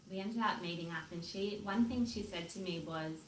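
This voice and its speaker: A woman speaks with an Australian accent. There is noticeable background noise. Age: young. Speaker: hair stylist and salon owner. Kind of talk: interview answer.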